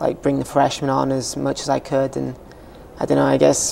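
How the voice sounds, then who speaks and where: A fairly quick pace in a Welsh accent, with noticeable background noise. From Wales. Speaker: college soccer player. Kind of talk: interview. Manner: hesitant, many fillers.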